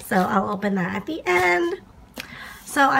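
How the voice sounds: A woman speaks at a medium pitch with a fairly bright tone and lively intonation. Vocal fry runs through her voice.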